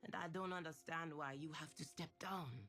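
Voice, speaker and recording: Putting on a character voice, a man pitches it fairly high and keeps a moderate pace. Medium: read story. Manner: pressing, argumentative.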